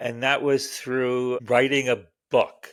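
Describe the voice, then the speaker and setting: On a very clean recording with a silent background, a man speaks very slowly at a medium pitch with a Canadian accent. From Canada. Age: 70s. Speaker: author. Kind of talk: interview. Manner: halting, many fillers.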